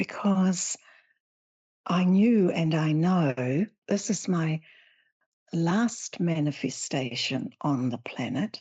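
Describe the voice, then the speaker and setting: A woman with a fairly low, somewhat breathy voice talks at a very slow pace with lively intonation and long, frequent pauses. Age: 70s. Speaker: spiritual teacher and author. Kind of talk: interview.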